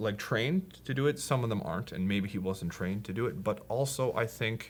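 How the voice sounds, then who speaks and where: With a Polish accent, a man speaks at a moderate pace and medium pitch, his intonation lively. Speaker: podcast guest sharing personal story. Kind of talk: personal conversation, testimony. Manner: halting, hesitant.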